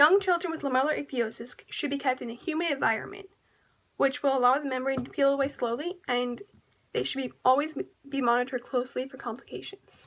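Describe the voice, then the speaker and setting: A woman with a high pitch talks at a very fast pace, her pitch varying in an ordinary way. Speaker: presenter. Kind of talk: educational PSA narration. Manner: stammering, with random pauses. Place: home room. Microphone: webcam.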